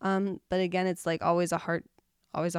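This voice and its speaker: Her voice sits at a fairly low pitch for a woman, and her intonation stays monotone and flat. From abroad, moved from another country. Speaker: missionary. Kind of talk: casual chat.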